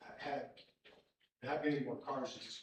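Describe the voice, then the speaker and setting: The voice is somewhat breathy at a fairly quick pace. Audible room echo surrounds it. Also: man. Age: 60s. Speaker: resident speaking at public hearing. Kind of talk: public comment at township meeting.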